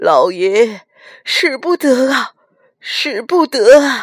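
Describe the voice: A woman's slow, put-on character voice, fairly high-pitched, with big pitch swings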